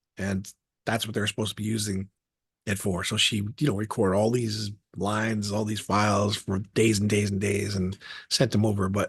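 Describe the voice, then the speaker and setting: Recorded dry and close with no echo, a man talks at a fairly quick pace. His somewhat breathy voice holds a monotone, flat intonation. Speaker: voice actor and attorney. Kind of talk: interview answer.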